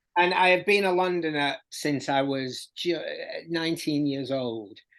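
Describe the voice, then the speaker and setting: This man's pitch is fairly high, with ordinary variation. He talks at a fairly slow pace over a quiet background. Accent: Yorkshire. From South Yorkshire (Barnsley). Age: 50s. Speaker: music journalist and author. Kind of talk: podcast interview. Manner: halting, many repetitions.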